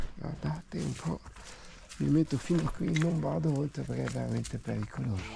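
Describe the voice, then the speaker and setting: A man talks rather slowly. His pitch rises and falls across a very broad range. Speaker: urban explorer. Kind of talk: casual outdoor vlog narration. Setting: outdoors.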